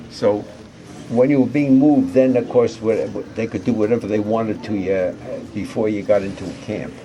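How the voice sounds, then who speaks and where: A man talks at a moderate pace over noticeable background noise, with audible room echo. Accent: New York. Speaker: war veteran. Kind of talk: interview. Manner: halting.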